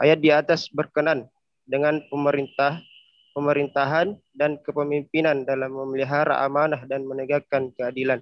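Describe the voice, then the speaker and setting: A man's fairly high voice in a monotone, flat intonation. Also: moderate pace. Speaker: student. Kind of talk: class presentation. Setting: video call.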